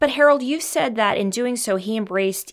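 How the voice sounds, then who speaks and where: Over a silent background in a very clean recording, a woman with an ordinary speaking voice talks at a moderate pace with lively intonation. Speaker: podcast host. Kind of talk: scripted podcast narration and interview.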